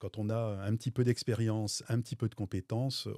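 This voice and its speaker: Over a very clean, silent background, a man speaks at a moderate pace in a medium pitch with a dark, mellow tone, in a dry, close sound with no echo. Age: 60s. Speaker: business owner. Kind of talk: interview testimony. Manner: hesitant, many fillers.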